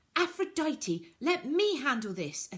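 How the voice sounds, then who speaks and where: Someone delivers lines in a put-on character voice at a fairly slow pace. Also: woman, high pitch for a woman. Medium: read story.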